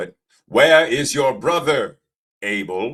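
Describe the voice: Putting on a character voice, a man speaks at a fairly slow pace with a fairly high pitch.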